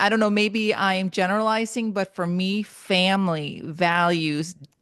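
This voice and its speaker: A woman speaks at a medium pitch with a slight Spanish accent. Her intonation stays fairly even. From Honduras, moved to US at eight. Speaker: motivational speaker and writer. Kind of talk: podcast interview.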